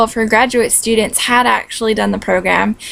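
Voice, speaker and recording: A woman with an American accent talks while noticeable background noise can be heard. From California. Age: 20s. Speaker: vlogger, recent graduate. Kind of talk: casual vlog. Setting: at home. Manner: casual, many fillers.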